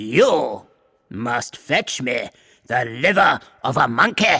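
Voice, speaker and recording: A growling put-on character voice moves at a very slow pace. Its pitch swings very widely. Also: man, medium pitch for a man. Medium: read story.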